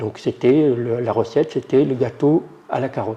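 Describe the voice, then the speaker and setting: A man talks at a fairly slow pace in a dark, mellow tone that is somewhat breathy. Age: 60s. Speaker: adult literacy learner. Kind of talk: testimony. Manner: halting.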